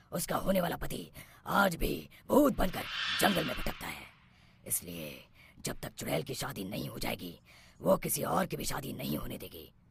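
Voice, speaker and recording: A man puts on a cartoonish character voice at a medium pitch. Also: moderate pace. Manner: authoritative.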